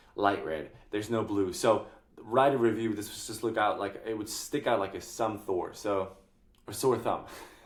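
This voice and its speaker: With audible room echo around him, a man speaks at a fairly low pitch with fairly even intonation. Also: moderate pace. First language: not English. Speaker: software tutorial creator. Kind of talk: screen-share tutorial. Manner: casual, with frequent fillers.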